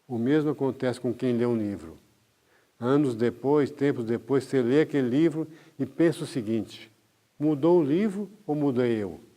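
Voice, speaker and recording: In a quiet background, a man with a dark, mellow tone and medium pitch talks at a moderate pace with ordinary pitch variation. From Brazil, interior of Minas Gerais. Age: 80s+. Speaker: doctor giving a talk. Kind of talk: lecture.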